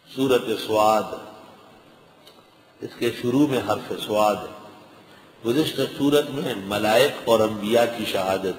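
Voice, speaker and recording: Amid noticeable background noise, a man talks at a medium pitch with ordinary pitch variation and big swings in loudness. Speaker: Islamic scholar giving a Quran lecture. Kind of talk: religious lecture explaining Quran translation and commentary.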